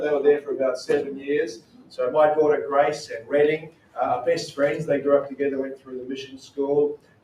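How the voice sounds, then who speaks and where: With a strong Australian accent, a man talks at a fairly quick pace, his fairly high pitch held in fairly even intonation. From Australia, Queensland. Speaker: missionary. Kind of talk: talk to a church group. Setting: church. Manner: casual.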